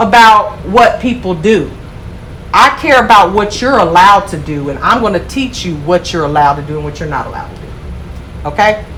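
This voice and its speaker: Over noticeable background noise and audible room echo, a woman speaks in an animated tone at a medium pitch and moderate pace, her pitch swinging very widely. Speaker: nail school instructor. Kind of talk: classroom lecture. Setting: classroom. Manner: loud.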